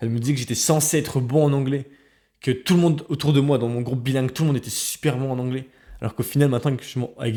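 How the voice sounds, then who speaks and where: Fairly even in intonation, a man with a dark, mellow tone and medium pitch speaks at a very fast pace in a very clean recording with a silent background. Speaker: researcher and educational youtuber. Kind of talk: personal advice monologue.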